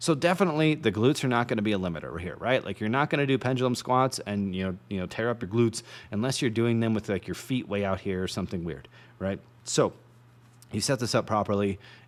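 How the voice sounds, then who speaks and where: Lively intonation marks a man's voice. He talks at a very fast pace. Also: medium pitch for a man, very clean recording, silent background. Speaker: fitness educator. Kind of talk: lecture.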